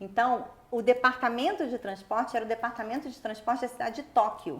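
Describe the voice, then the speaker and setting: A woman with a fairly high pitch and ordinary pitch variation talks at a fairly quick clip. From Brazil, Rio de Janeiro. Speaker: international sports event executive. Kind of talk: interview. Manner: fast.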